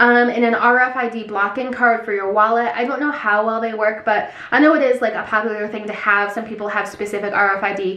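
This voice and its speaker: Amid noticeable background noise and audible room echo, a woman talks fairly quickly at a fairly high pitch, with fairly even intonation and hardly any pauses. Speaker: lifestyle vlogger. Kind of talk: casual vlog talk to camera. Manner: fast.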